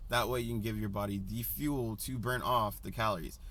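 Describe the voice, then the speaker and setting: A man speaks at a moderate pace with vocal fry. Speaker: personal trainer. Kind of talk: casual vlog advice. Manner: casual, hesitant with many ums.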